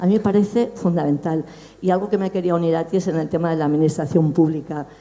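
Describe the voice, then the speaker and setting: Very fast speech with ordinary pitch variation plays against noticeable background noise. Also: woman. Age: 60s. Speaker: audience member asking a question. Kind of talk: public Q&A question.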